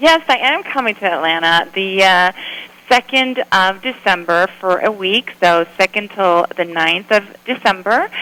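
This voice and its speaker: Against noticeable background noise, a woman at medium pitch speaks with lively intonation. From Sweden. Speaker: photographer and former model. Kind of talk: radio interview.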